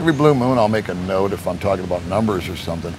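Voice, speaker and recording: Noticeable background noise sits behind a man speaking at a fairly low pitch with an American accent. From United States. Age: 60s. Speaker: retired expat YouTuber; interview guest, video channel host. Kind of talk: interview conversation. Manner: humorous, entertaining. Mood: relaxed, reflective storytelling. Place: garden. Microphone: lapel.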